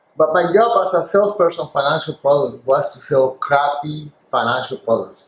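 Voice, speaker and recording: Ordinary pitch variation and a moderate pace with a Spanish accent. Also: man. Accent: deep Spanish. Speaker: former financial salesperson. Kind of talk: interview.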